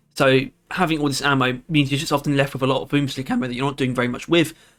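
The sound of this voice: In a raspy, put-on character voice, a man speaks very fast at a fairly high pitch with flat, monotone intonation.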